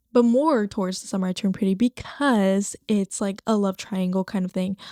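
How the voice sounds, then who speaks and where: Animated in tone, a woman with a Spanish accent talks at a fairly quick pace and a medium pitch, on a very clean, dry, close recording with a silent background and no echo. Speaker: podcast host. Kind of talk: casual chat. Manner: halting.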